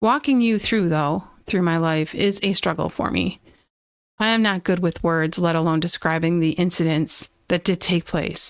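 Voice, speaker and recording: A woman's fairly low-pitched voice at a moderate pace, with ordinary pitch variation, very even loudness, and a dry, close sound with no echo. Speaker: podcaster sharing personal abuse story. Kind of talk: personal testimony. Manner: halting, stumbling over words.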